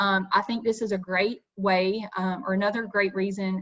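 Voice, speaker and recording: A woman speaks at a medium pitch. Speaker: state youth organization staff leading teacher workshop. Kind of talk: online workshop presentation. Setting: video call. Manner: fast; animated.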